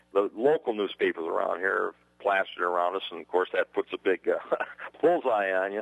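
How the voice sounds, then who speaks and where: A man's speech comes at a moderate pace, with noticeable background noise in the recording. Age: 70s. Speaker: high school football coach. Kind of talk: radio interview.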